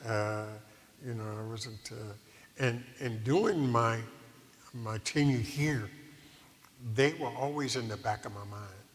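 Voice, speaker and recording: Somewhat breathy and medium in pitch, a man speaks with big swings in loudness and long, frequent pauses. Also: ordinary pitch variation, fairly slow pace. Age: 70s. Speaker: retired preacher. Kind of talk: interview.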